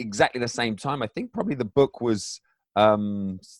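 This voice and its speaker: The sound is dry and close with no echo as a man speaks with an English accent. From England. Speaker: author and mindset coach. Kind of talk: interview. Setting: home basement.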